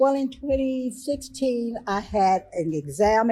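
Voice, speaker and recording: A normal speaking voice with lively intonation against a quiet background. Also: woman. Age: 60s. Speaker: breast cancer survivor. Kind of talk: testimony.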